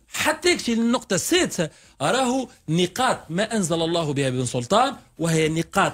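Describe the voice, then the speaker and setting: His pitch swings very widely as a man speaks at a moderate pace. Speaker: radio guest. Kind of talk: interview answer. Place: studio. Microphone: studio mic.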